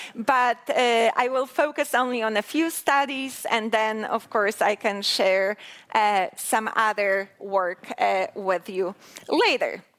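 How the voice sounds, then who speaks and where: A woman with a Polish accent speaks at a very slow pace in a fairly high pitch. Her loudness stays very even, and her pitch varies in an ordinary way. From Poland. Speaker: researcher. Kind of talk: lecture.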